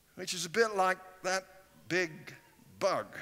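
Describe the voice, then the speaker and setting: Here a man uses a raised, projected voice. His pace is moderate. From England. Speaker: guest preacher. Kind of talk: sermon. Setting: church. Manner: animated. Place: church. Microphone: headset.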